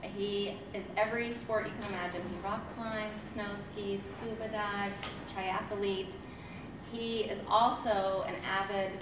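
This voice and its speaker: Over noticeable background noise, a woman speaks fairly slowly with audible room echo. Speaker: teacher introducing guest. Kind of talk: speech introduction. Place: hall.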